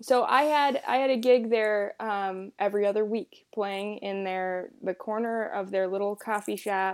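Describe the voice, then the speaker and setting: In an American accent, a woman with medium pitch and an ordinary speaking voice talks at a fairly slow pace with fairly even intonation on a very clean recording with a silent background. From US South, South Carolina. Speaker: guest host and musician. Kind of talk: casual interview conversation.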